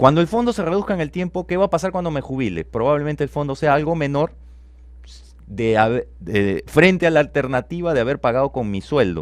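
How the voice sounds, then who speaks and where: A man with a plain, everyday voice, fairly high pitch, fairly quick pace and lively intonation. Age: 40s. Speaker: economist, business school dean. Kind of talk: radio interview. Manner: explanatory, rhetorical questions.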